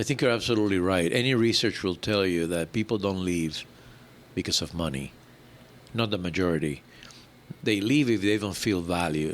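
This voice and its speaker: A man with a very deep, low pitch speaks at a moderate pace with ordinary pitch variation. He leaves long, frequent pauses. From Puerto Rico. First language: Spanish. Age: 70s. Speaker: airline executive. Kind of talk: interview.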